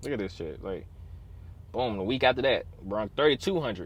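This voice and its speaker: A man speaks with lively intonation. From Chicago, US Midwest. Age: 20s. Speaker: truck driver and vlogger. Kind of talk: casual vlog storytime. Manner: fast; animated.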